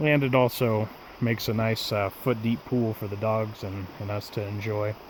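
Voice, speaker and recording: A man speaks in a fairly low voice at a moderate pace. His intonation stays fairly even. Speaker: camping vlogger. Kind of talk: casual vlog narration. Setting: outdoors. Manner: soft-spoken.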